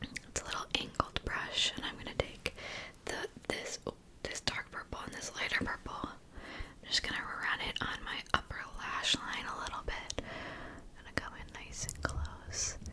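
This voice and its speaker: The voice whispers at a fairly slow pace with long, frequent pauses and big swings in loudness, over noticeable background noise. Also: woman. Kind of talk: casual talk to camera, ASMR get-ready-with-me. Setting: desk setup, close to microphone, no mic cover. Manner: whispered, soft-spoken, close-mic.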